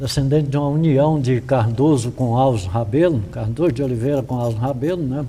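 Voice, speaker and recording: The man's tone is dark and mellow, somewhat breathy, and his pitch varies in an ordinary way. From Brazil, Federal District (Brazlândia). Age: 60s. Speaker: local elder, interviewee. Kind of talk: oral history interview.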